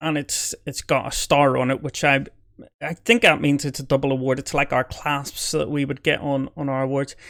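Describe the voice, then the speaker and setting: The speaker has a Belfast accent and fairly even intonation. The recording is very clean, with a silent background. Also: man, fairly high pitch for a man, moderate pace. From Northern Ireland, Belfast. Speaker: army veteran reacting to videos. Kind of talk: reaction commentary. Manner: hesitant, repeats words.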